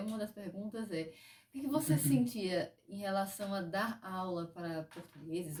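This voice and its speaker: A woman with an unremarkable speaking voice, medium pitch, moderate pace and lively intonation. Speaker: interviewer, dance channel host. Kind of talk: casual interview questions.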